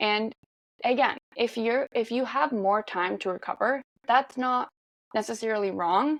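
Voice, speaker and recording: A woman with a Norwegian accent speaks fairly slowly and fairly high, with ordinary pitch variation, in a dry, close sound with no echo. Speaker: marathon runner. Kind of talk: podcast interview.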